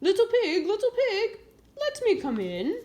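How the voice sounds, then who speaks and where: A squeaky, put-on character voice at an extremely high pitch, delivered at a moderate pace. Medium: read story. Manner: sly, wheedling.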